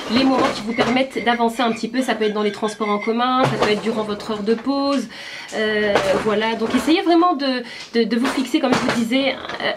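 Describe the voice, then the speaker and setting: A woman talks at a fairly high pitch and a fairly quick pace. Her pitch varies in an ordinary way, and there is noticeable background noise. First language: Berber (speaking French). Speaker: YouTuber. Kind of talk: vlog tutorial. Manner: hesitant, many fillers.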